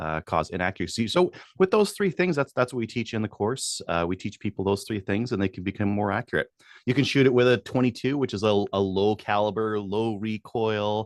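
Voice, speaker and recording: An ordinary speaking voice comes from a man with a Canadian accent, pitched fairly low with ordinary pitch variation, at a fairly quick pace. The sound is dry and close with no echo, over a quiet background. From Edmonton, Alberta, Canada. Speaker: firearms instructor. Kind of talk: podcast interview.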